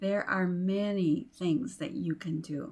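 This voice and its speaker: Her voice is a normal speaking voice, with a woman speaking at a fairly low pitch and ordinary pitch variation. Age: 60s. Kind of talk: inspirational talk to camera. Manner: warm, encouraging.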